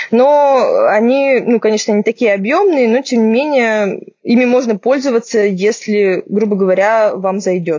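Using an ordinary speaking voice, a woman talks at a fairly slow pace and fairly high pitch, with ordinary pitch variation and very even loudness. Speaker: podcast host, medical journalist. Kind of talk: casual chat. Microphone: poor sound due to technical problems.

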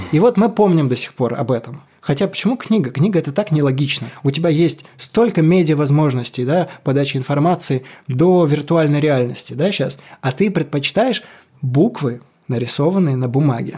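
With lively intonation and a moderate pace, a man speaks in a fairly high pitch with a dark, mellow, somewhat breathy tone. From Kolomna, Moscow region. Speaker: rock singer. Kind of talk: casual chat.

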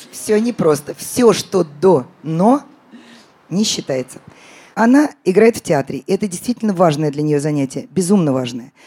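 A woman speaks at a moderate pace with a fairly low pitch. Her pitch swings very widely, and she leaves long, frequent pauses. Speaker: podcast host. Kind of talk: live podcast recording answering listener questions.

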